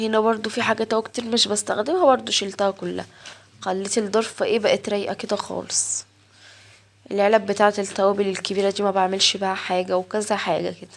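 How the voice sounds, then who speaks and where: In a flat, monotone way, a woman speaks at medium pitch. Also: fairly quick pace. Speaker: home vlogger. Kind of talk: casual vlog narration. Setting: home kitchen.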